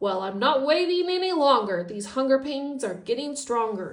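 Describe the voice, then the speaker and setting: A woman puts on a growling character voice at a high pitch. She speaks at a moderate pace. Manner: growling, impatient.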